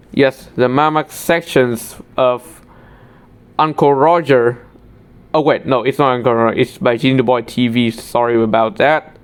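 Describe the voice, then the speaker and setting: Someone speaks with a Vietnamese accent at a fairly slow pace. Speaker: tech YouTuber. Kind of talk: screen-recorded tutorial walkthrough. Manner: halting, with self-corrections.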